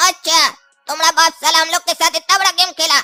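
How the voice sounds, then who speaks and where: A cartoonish character voice at a fairly quick pace, with music in the background. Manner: rustic, swears often.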